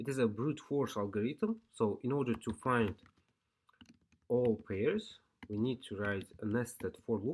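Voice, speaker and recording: A man with a non-native accent and a medium pitch speaks at a fairly slow pace, with ordinary pitch variation and long, frequent pauses. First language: not English. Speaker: programming tutor. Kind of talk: tutorial. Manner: halting.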